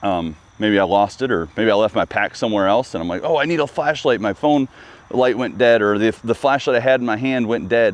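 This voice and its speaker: Using ordinary pitch variation, a man with medium pitch speaks at a fairly quick pace. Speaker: bow shop host and hunting guide. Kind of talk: tutorial. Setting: archery shop. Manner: mumbling; casual, filler-heavy.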